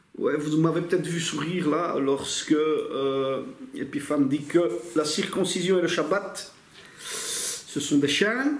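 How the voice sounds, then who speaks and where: Through audible room echo and noticeable background noise, a man speaks at a very slow pace, his fairly high pitch moving with ordinary variation. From Italy. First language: Italian (speaking French). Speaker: bible teacher. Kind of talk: lecture. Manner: casual, with hesitations.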